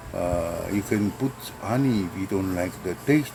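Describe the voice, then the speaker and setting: Noticeable background noise sits behind a man's fairly low-pitched voice. He talks at a fairly slow pace with lively intonation. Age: 70s. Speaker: herbal medicine vlogger. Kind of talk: tutorial. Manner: halting, many fillers.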